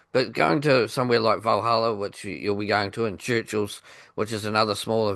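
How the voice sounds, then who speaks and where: With a New Zealand accent, the speaker talks at a fairly quick pace with fairly even intonation against a quiet background. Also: man. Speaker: radio podcast host. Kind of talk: interview.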